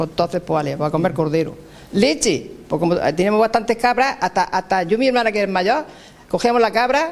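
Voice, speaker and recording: A man's high voice with lively intonation and very even loudness, at a fairly quick pace. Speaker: elderly villager. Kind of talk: interview recollection.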